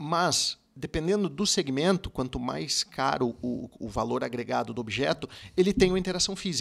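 There's vocal fry in this man's voice as he talks at a moderate pace with lively intonation. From Curitiba, Paraná, Brazil; Paraná, Brazil. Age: 40s. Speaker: car dealership sales director. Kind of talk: podcast interview. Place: studio. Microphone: studio mic.

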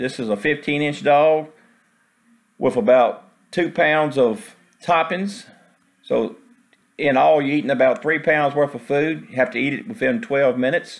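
The speaker pauses often and at length. The pace is moderate. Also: man, quiet background. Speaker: food vlogger. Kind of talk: casual vlog commentary. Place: cafe. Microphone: phone near.

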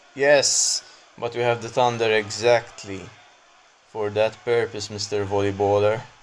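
Over noticeable background noise, a man with a fairly low pitch talks fairly slowly in a monotone, flat way. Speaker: gameplay commentator. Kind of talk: live gameplay commentary over a mobile football game, narrating play-by-play. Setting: solo recording, voiceover on gameplay video. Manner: conversational, improvised, reacting as chances happen.

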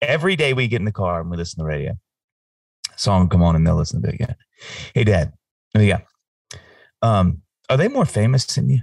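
A man with an American accent talks at a very fast pace in a fairly low pitch with lively intonation, yet with long, frequent pauses. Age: 40s. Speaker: singer-songwriter. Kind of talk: casual chat.

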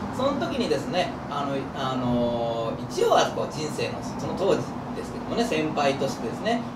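A man speaks at a moderate pace with music playing in the background. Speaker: channel host. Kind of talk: casual vlog chat. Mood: playful, laughing. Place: street.

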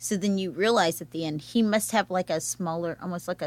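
At a fairly quick pace and with ordinary pitch variation, an ordinary speaking voice comes through in a very clean recording with a silent background. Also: woman. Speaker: arts event organizer. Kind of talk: casual chat. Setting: studio.

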